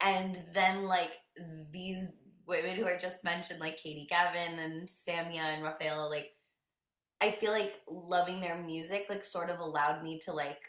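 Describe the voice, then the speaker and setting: A woman talks in a fairly low pitch at a moderate pace. Her intonation stays fairly even. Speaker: singer in a band. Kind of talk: interview. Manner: casual, many fillers.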